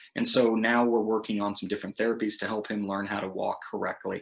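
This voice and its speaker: A man with an American accent, speaking at a fairly quick pace. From United States. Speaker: missionary. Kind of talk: recorded prayer request message.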